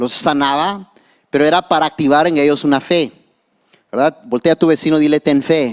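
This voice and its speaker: Speaking at a moderate pace, a man keeps a fairly high pitch, fairly even intonation and very even loudness. The sound is dry and close with no echo. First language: English (speaking Spanish). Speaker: pastor. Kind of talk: sermon. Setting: church. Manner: halting, code-switching.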